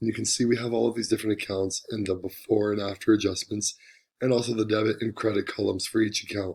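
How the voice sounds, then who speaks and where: Speaking very fast, a man with a fairly low voice keeps a monotone, flat intonation. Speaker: student presenter. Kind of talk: tutorial.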